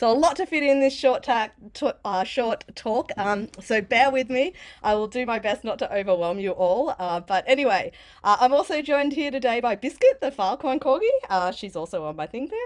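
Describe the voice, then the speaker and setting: A woman with an Australian accent, high in pitch, fairly quick, with lively intonation. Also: quiet background. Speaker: developer advocate giving conference talk. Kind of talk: conference talk. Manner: casual, many fillers.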